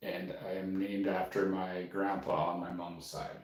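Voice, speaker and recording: A man is speaking. Room echo is audible. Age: 40s. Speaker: painter. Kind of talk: casual live stream chat. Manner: quiet talker; rambling with fillers.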